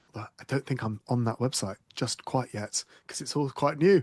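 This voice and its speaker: A man speaks fairly quickly in an enthusiastic tone, heard dry and close with no echo against a quiet background. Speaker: sustainability business founder. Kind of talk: interview.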